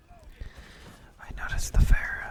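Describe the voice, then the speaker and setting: A man speaks in a whisper. Noticeable background noise runs underneath. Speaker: ASMR gaming content creator. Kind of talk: whispered gameplay commentary. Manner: whispered, soft-spoken.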